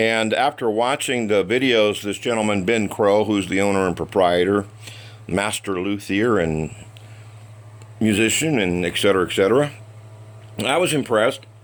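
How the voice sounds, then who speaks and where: A man's fairly low voice at a moderate pace, ordinary pitch variation and long, frequent pauses. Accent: American. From United States. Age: 60s. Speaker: guitar hobbyist reviewer. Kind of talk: product review. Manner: casual, hesitant with fillers.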